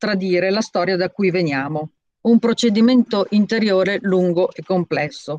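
A woman at a moderate pace, the sound dry with no echo. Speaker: association president; council speaker. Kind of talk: commemorative speech. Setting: video call. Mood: solemn, commemorative. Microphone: video call.

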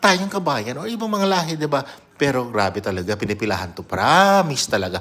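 An animated man at a moderate pace, his pitch swinging very widely. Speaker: vlogger. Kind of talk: casual vlog. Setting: at home.

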